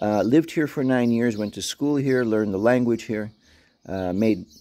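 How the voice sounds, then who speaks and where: The voice has a dark, mellow tone, ordinary pitch variation and an American accent. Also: man. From New York City and Gozo, Malta. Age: 60s. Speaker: dog owner and vlogger. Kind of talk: casual vlog monologue. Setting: outdoors in backyard. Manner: hesitant, many fillers.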